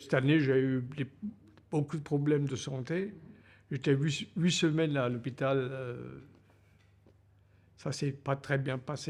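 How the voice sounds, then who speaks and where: A man's fairly high voice at a very slow pace, ordinary pitch variation, on a very clean recording with a silent background. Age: 80s+. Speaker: retiree sharing life story. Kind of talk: life story interview.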